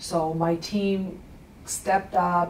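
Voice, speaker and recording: Over noticeable background noise and audible room echo, a woman speaks at a very slow pace in a fairly low pitch with monotone, flat intonation. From Russia. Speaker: attorney. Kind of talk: TV interview.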